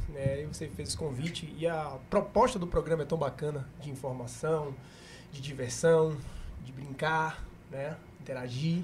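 A somewhat breathy voice with fairly even intonation comes through with audible room echo. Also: man. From Camaçari, Bahia, Brazil. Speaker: businessman and podcast co-host. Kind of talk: casual chat.

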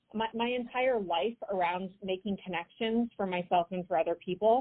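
Using a normal speaking voice, a woman with an American accent talks at a moderate pace, at medium pitch with ordinary pitch variation. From US West, Idaho. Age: 40s. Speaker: entrepreneur, event network founder. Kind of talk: interview. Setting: phone call.

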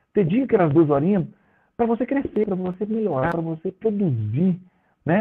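Talking at a very fast pace, a man with a high voice makes very wide pitch swings. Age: 40s. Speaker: professional volleyball player. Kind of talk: casual interview chat.

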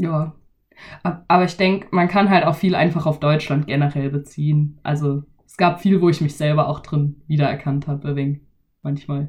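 In a Baden accent, a woman speaks at a very deep, low pitch and a moderate pace with fairly even intonation. Her voice is somewhat breathy, with big swings in loudness. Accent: Badisch-tinged German. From Baden, Germany. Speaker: podcast host. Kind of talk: casual chat.

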